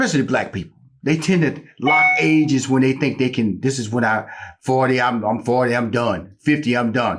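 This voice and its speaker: Using a plain, everyday voice, a man talks at a medium pitch and moderate pace with ordinary pitch variation. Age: 60s. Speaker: talk show host. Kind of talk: interview.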